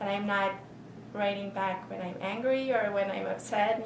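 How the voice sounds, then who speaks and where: A woman with a non-native accent speaks at a moderate pace amid noticeable background noise and audible room echo. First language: not English. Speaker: university instructor. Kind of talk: interview answer.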